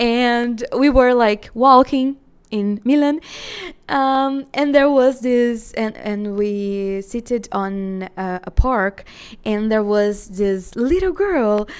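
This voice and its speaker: The speaker talks at a very slow pace in a Portuguese accent. Pitch variation is ordinary. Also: woman, fairly high pitch for a woman. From Brazil. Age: 20s. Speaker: solo podcaster. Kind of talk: casual storytelling monologue. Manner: halting, many fillers.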